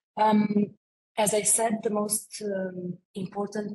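There is noticeable background noise as a woman talks with a Romanian accent. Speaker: international project expert; presenter. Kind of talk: webinar presentation. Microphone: video call.

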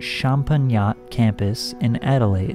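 A man speaks in a dry sound with no echo while clear music plays in the background. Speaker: YouTube commentator. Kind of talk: commentary. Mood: skeptical, slightly sarcastic. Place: home room.

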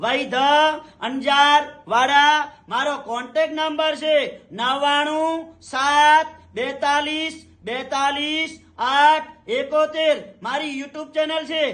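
A man's extremely high voice has a bright, sharp tone and flat, monotone intonation. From Kutch, Gujarat. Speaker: traditional healer. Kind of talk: promotional talk to camera.

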